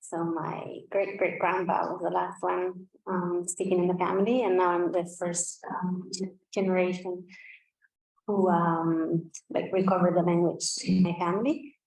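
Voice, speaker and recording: A woman's fairly slow speech with fairly even intonation and audible room echo. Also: medium pitch for a woman. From Basque Country, northern Spain. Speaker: language revitalization speaker. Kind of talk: conference presentation. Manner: halting, many fillers.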